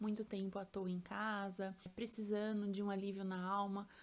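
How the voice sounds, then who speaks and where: A woman talks at a moderate pace and medium pitch. Hers is a normal speaking voice. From São Paulo state, Brazil. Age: 20s. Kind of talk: casual talk to camera.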